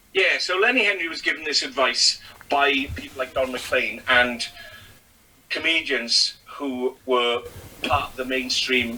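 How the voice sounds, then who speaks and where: Over noticeable background noise, a man talks at a very slow pace in a Welsh accent, with ordinary pitch variation. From Wales. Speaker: stand-up comedian. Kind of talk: casual interview chat.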